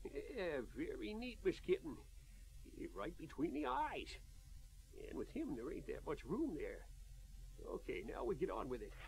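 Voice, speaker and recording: Putting on a character voice in a Western US accent, a man drawls at a moderate pace with long, frequent pauses. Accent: old west rural drawl. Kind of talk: comic western radio serial. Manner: folksy, drawling, says "yeah" a lot.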